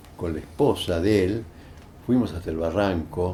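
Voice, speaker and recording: Very deep, low male voice, fairly slow, with ordinary pitch variation. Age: 80s+. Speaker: human rights lawyer. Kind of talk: interview answer.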